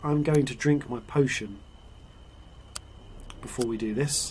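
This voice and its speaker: Pitched fairly high, a man talks at a moderate pace. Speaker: voice actor, audiobook producer. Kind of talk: casual gameplay commentary.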